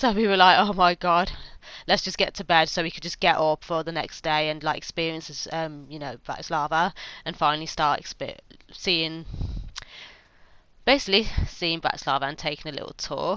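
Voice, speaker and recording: Bright and sharp in tone, the voice moves at a fairly quick pace with ordinary pitch variation, big swings in loudness, and long, frequent pauses. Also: woman, fairly low pitch for a woman. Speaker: YouTuber. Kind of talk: casual vlog monologue, travel review. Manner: fast.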